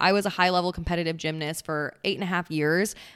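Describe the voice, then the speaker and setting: Fairly low-pitched and with fairly even intonation, a woman talks in an ordinary speaking voice. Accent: American. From US Midwest, central Wisconsin. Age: 20s. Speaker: podcast host and lifestyle coach. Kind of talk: casual chat.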